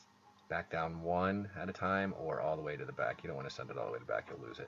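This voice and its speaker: Over noticeable background noise, a man mumbles in a very deep, low pitch. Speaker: game developer. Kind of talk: tutorial. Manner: mumbling; casual.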